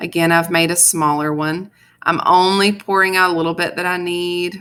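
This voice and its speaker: In a very clean recording with a silent background, a woman speaks in a fairly low, bright and sharp voice with flat, monotone intonation. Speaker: high school art teacher. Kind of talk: tutorial. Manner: fast; casual.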